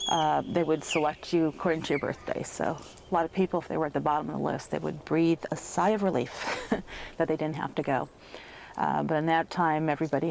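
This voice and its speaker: There is an American accent here. The voice carries vocal fry. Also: woman. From Chicago, Illinois. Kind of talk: interview answer.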